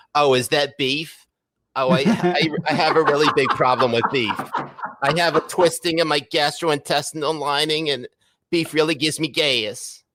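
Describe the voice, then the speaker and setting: At a moderate pace, a man puts on a character voice that is nasal, whiny and fairly high in pitch. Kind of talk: pedantic, complaining.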